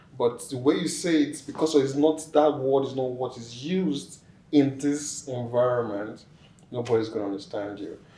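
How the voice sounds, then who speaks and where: With audible room echo and noticeable background noise, a man of medium pitch talks at a moderate pace, with ordinary pitch variation and big swings in loudness. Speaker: immigrant interviewee. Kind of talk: interview.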